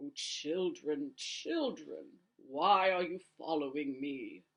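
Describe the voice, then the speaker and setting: Someone does a put-on character voice at a middle pitch. The pace is very slow. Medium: read story. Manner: slow, grave, tender.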